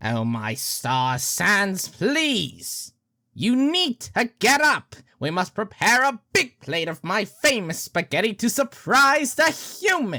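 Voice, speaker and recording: A put-on character voice, fairly high in pitch and at a fairly slow pace, in a very clean recording with a silent background. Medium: audio drama. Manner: loud, enthusiastic, theatrical.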